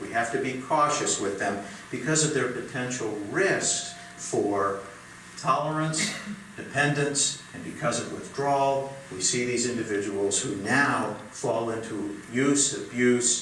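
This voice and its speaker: Audible room echo and noticeable background noise surround a man speaking at a medium pitch. He goes at a fairly slow pace with ordinary pitch variation. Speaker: psychiatrist. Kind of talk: lecture.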